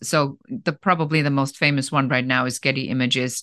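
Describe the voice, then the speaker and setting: A woman with a slight German accent speaks at a moderate pace with a very deep, low pitch and fairly even intonation, the sound dry and close with no echo over a quiet background. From Germany. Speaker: business coach. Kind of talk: interview.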